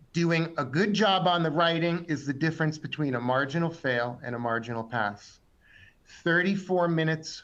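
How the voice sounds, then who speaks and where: Audible room echo around a man's fairly high-pitched voice, its pitch variation ordinary. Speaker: exam tutor. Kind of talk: webinar lecture.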